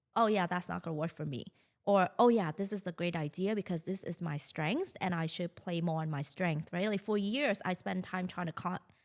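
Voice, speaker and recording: A woman speaks with a Vietnamese accent. The recording is very clean, with a silent background. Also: fairly low pitch for a woman, ordinary pitch variation, moderate pace. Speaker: marketing agency founder. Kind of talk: podcast interview.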